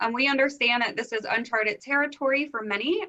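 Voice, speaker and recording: Bright and sharp, a woman's voice carries an American accent. She talks at a moderate pace. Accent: faint Philadelphia, mostly gone. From US Northeast, Philadelphia area. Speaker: instructional leadership consultant. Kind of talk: conference presentation.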